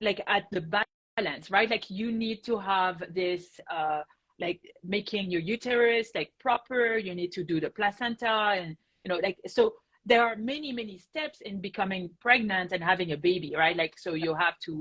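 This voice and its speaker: With a French accent, a woman talks at a moderate pace in a medium pitch with ordinary pitch variation. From France. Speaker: rheumatologist. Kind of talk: interview answer.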